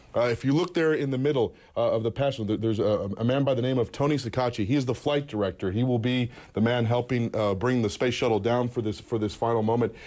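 Against a quiet background, a man speaks at a very fast pace in a dark, mellow tone, with ordinary pitch variation and very even loudness. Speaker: field reporter. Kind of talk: live news report. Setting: on location. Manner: halting. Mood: calm, measured, a bit solemn.

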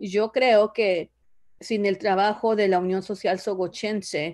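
A woman talks at a fairly slow pace, and the background is quiet. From Zoogocho, Oaxaca, Mexico. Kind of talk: casual interview about her life story. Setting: video call. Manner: hesitant, with repetitions and fillers. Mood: reflective, grateful. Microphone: video call.

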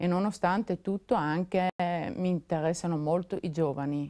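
Over a quiet background, a woman speaks in a dark, mellow tone with a fairly low pitch and fairly even intonation. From South Tyrol, Italy (San Candido, Puster Valley); South Tyrol, Italy. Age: 50s. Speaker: political candidate; candidate. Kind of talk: televised election debate. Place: studio. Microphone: lapel.

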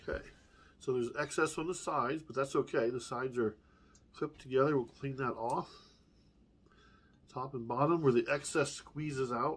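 A man speaks in a somewhat breathy voice, leaving long, frequent pauses. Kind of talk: casual cooking demo. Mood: relaxed, upbeat. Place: home room. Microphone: camera far.

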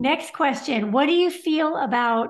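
Quiet surroundings and a woman's voice. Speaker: show host. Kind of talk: live stream Q&A moderation. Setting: video call. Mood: friendly, smiling. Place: home room. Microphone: video call.

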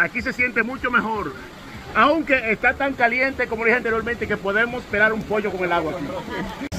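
A raised, projected voice over crowd noise in the background. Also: man, ordinary pitch variation, fairly quick pace. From Dominican Republic. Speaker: travel vlogger. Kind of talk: travel vlog narration. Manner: animated. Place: waterside. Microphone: phone near.

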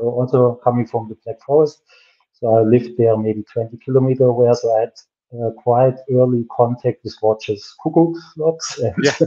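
With a German accent, a man talks at a moderate pace in a dark, mellow tone and fairly even intonation. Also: quiet background. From Germany. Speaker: watch brand founder and designer. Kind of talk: interview on a livestream. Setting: video call. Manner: laughs often, relaxed. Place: home room.

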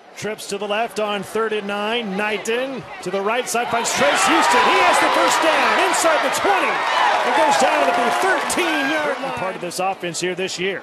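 Amid noticeable background noise, a man with a high pitch talks at a fairly slow pace, making very wide pitch swings and hardly any pauses. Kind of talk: live sports commentary, play-by-play. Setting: stadium broadcast booth. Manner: clipped, punchy delivery with crisp short calls.

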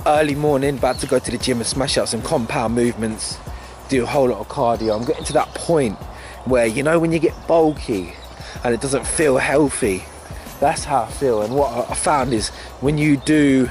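Faint music plays in the background as a man speaks with ordinary pitch variation in a dry sound with no echo. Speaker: fitness vlogger. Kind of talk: casual vlog chat. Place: open country. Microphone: phone near.

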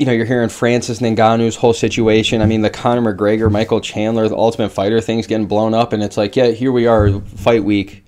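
A man speaks at a fairly quick pace with hardly any pauses, in a monotone, flat delivery at very even loudness. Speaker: MMA show host. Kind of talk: commentary. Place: home room. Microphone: webcam.

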